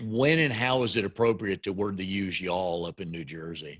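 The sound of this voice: This man has a low-pitched voice with a fairly bright tone and a Southern US accent. His pitch moves in an ordinary way. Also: moderate pace.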